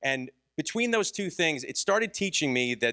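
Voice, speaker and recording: Recorded dry and close with no echo on a very clean, silent background, a man's bright, sharp voice carries vocal fry and very wide pitch swings. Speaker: conference speaker and podcaster. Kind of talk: conference talk. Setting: stage with audience. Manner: fast.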